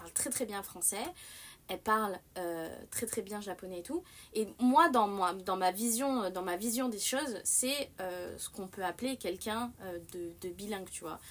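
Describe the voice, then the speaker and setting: At a fairly slow pace, a woman with medium pitch and ordinary pitch variation talks with big swings in loudness. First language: Japanese (native bilingual with French) (speaking French). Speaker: streamer. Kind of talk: casual live-stream chat. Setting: live stream. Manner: hesitant, many fillers; animated.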